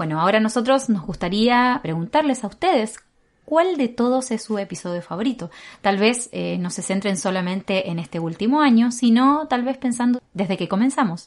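A woman with a slight Argentine accent speaks at a moderate pace in a fairly high pitch, her intonation lively against a quiet background. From Argentina. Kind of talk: devotional meditation. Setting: home recording room.

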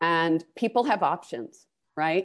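A woman with an ordinary speaking voice talks at a fairly slow pace, her fairly low pitch carrying lively intonation against a quiet background. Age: 60s. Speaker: finance executive and board member. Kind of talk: interview conversation.

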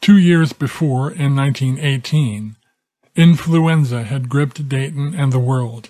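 Somewhat breathy, with a dark, mellow tone, a man speaks very slowly at a fairly high pitch with ordinary pitch variation. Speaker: documentary narrator. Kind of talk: sports history documentary narration, scripted. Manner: measured, formal storytelling; steady, authoritative delivery.

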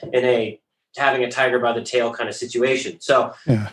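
At a moderate pace, a man talks in a medium-pitched voice with a bright, sharp tone. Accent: American. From rural Colorado, then Bellingham, Washington. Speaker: company founder. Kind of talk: interview.

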